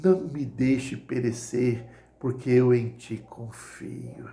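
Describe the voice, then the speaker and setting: Against audible room echo, a man speaks at a very slow pace in a somewhat breathy voice of medium pitch, with a dark, mellow tone and fairly even intonation. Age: 60s. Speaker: lay preacher. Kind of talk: sermon. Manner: hesitant with repetitions.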